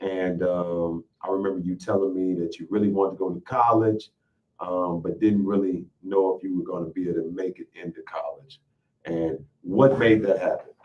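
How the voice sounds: Speaking at a moderate pace, a man keeps a low pitch and fairly even intonation.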